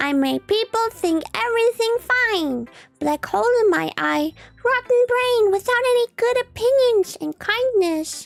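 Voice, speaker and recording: A woman's playful, squeaky put-on character voice with very wide pitch swings at a fairly slow pace, dry and close with no echo, with music in the background. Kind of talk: cute-voiced poetry reading. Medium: virtual streamer. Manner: sweet, exaggerated, playful.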